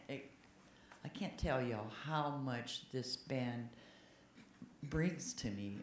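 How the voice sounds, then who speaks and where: A woman's speech carries ordinary pitch variation, with audible room echo around it. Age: 70s. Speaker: church member speaking at a congregational meeting. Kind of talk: open-floor comment at a church meeting. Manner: halting, with repeated words.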